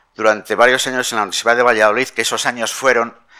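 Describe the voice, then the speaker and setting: Captured in a very clean recording with a silent background, a man at a medium pitch talks in a monotone, flat way with a bright, sharp tone. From Castile, Spain (Palencia). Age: 60s. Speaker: bishop. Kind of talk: press conference.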